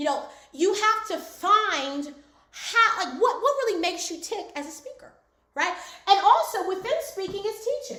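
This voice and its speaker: A woman's bright, sharp, animated voice at an extremely high pitch, raised and projected, with very wide pitch swings, big swings in loudness and audible room echo. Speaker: speaking coach. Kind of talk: online class. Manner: fast.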